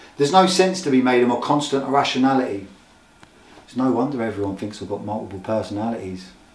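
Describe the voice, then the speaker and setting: A man at a very fast pace, lively in intonation, with big swings in loudness and noticeable background noise. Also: medium pitch for a man. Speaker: recovering addict, spoken word poet. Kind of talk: spoken word poetry performance.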